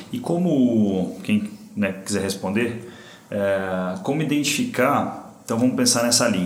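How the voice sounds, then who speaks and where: Lively intonation and a moderate pace come through audible room echo and noticeable background noise. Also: man. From Brazil, São Paulo; moved to São José do Rio Preto at 15. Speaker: podcast host, business mentor. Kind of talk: casual interview chat.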